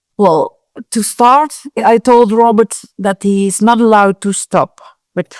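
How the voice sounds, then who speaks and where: A woman speaks at a fairly slow pace with fairly even intonation in an unremarkable speaking voice. The recording is very clean with a silent background and a dry, close sound with no echo. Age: 60s. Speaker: event organizer. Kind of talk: interview.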